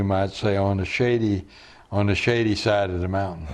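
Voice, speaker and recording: The intonation stays fairly even. There is audible echo from the room. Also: man. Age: 80s+. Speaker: retreat founder and spiritual teacher. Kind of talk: interview conversation.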